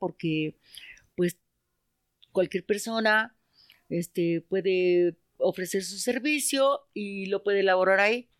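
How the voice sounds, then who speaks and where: A woman speaks at a very slow pace, with a dry, close sound and no echo. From Mexico City, Iztapalapa. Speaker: market vendor. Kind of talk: casual chat.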